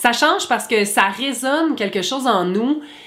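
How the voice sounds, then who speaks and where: With a Quebec accent, a woman talks at a fairly slow pace. Her pitch swings very widely. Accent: Québécois. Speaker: YouTuber. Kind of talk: vlog monologue.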